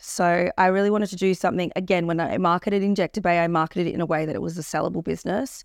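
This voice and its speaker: Talking at a very fast pace with hardly any pauses, a woman with an Australian accent keeps her fairly low pitch in fairly even intonation. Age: 30s. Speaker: cosmetic injector and entrepreneur. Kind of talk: casual chat.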